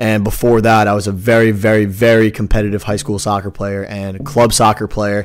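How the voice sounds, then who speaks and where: A man's plain, everyday voice, fairly low in pitch, with fairly even intonation at a moderate pace, on a very clean recording with a silent background. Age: 20s. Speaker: fitness podcast co-host. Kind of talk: casual chat.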